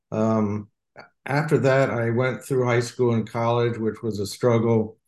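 The man's voice sits at a medium pitch. He keeps a fairly even intonation and a fairly slow pace. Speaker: retired sales executive. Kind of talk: interview. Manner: halting.

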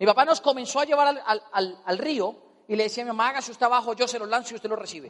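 Very fast male speech against noticeable background noise. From Colombia. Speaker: motivational speaker. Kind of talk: motivational seminar talk. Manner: animated.

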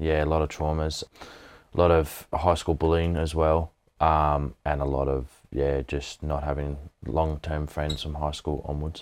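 A very deep, low male voice with an Australian accent, monotone and flat, at a fairly slow pace, in a very clean recording with a silent background. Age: 20s. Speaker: mental health advocate, former mine worker. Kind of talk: interview testimony.

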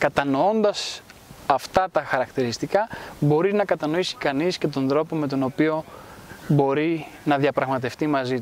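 With an ordinary speaking voice, a man talks at a fairly slow pace and fairly high pitch, using ordinary pitch variation. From Greece, raised in Rome from age 10 to 20. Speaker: cultural institute founder. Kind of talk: interview. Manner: formal.

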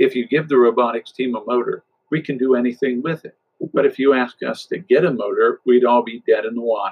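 Quiet surroundings around an unforced reading voice

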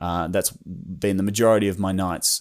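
A man is speaking. He talks with an Australian accent. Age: 20s. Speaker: YouTuber and creative. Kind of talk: solo podcast monologue. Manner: rambling.

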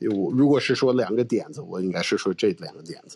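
A man speaking at a moderate pace. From United States. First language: English (speaking Chinese). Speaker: comedian. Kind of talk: casual interview. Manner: halting, with fillers.

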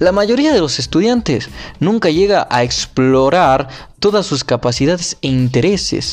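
A man speaks at a fairly slow pace in a fairly high voice, his loudness very even while his pitch swings very widely. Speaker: podcaster reading a book aloud. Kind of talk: reading aloud; casual commentary. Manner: halting; emphatic put-on accent on key words.

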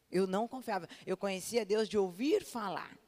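A woman's ordinary speaking voice with lively intonation. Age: 30s. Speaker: pastor. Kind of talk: sermon.

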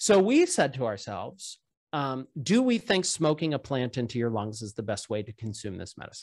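A man with an American accent speaks at a moderate pace in a plain, everyday voice, medium in pitch, with big swings in loudness over a quiet background. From Pittsburgh, US. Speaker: biotech startup founder. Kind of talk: casual interview.

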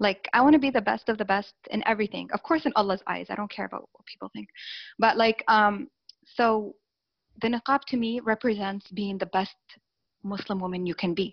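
A woman with an American accent speaks at a moderate pace. Her pitch is fairly high, with ordinary variation. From Saudi Arabia, raised in the US from age 5 to 18. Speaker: life coach. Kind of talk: interview.

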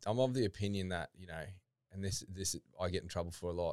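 A man with an Australian accent and a very deep, low pitch, at a fairly quick pace with ordinary pitch variation. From Queensland, Australia (Toowoomba). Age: 30s. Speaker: fitness equipment business founder. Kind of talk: casual chat. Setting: studio.

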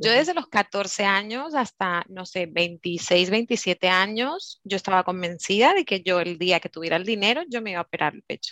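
A woman's medium-pitched, bright, sharp voice with lively intonation, moderate pace and hardly any pauses, on a very clean recording with a silent background. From Curaçao. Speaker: team leader and beauty advisor. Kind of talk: casual chat.

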